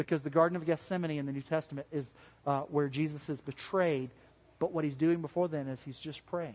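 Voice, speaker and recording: A man speaks with a Southern US accent. His pitch is fairly high and his pace fairly quick. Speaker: pastor. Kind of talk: sermon. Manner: halting.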